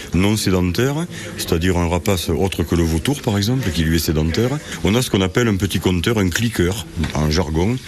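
With lively intonation and a moderate pace, a man in a very deep, low pitch talks through noticeable background noise. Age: 60s. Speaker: bird conservation volunteer. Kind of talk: radio interview.

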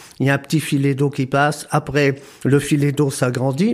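Fairly high in pitch, a man delivers his words in a flat monotone. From northern France, Pas-de-Calais. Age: 70s. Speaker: retired hairdresser, flood victim. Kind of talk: testimony.

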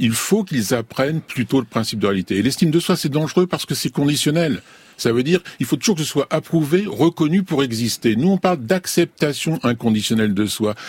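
A man's fairly high, somewhat breathy voice with very wide pitch swings at a fairly quick pace, dry and close with no echo. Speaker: clinical psychologist. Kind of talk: radio discussion. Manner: outspoken.

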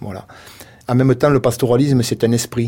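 A man speaks with a Marseille accent. His tone is dark and mellow. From Provence, Le Rove near Marseille. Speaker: goat farmer. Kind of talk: radio interview. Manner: halting.

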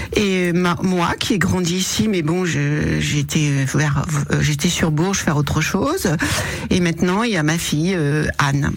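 With audible room echo and noticeable background noise, a woman speaks at a very slow pace in a fairly low pitch, with ordinary pitch variation and very even loudness. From Berry, Cher (central France). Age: 60s. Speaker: restaurant owner. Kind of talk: radio interview. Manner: halting, many repetitions.

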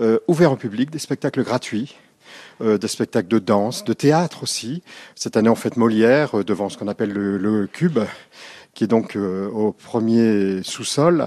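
A man talks at a moderate pace in a plain, everyday voice. His pitch is medium, with ordinary variation. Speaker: conservatoire director. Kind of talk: interview on location. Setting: indoors in a conservatoire.

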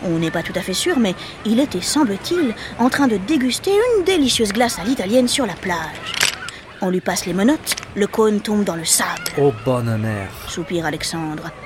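Against noticeable background noise, a woman at a medium pitch talks at a moderate pace with very wide pitch swings. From Marseille, southern France. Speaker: podcast storyteller. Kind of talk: scripted narration. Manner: animated.

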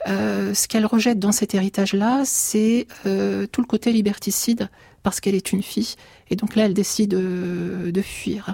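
A woman at a fairly slow pace, medium pitch, somewhat breathy with a dark, mellow tone and fairly even intonation, in a dry, close sound with no echo. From France, Turkish family. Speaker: writer. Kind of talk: radio interview.

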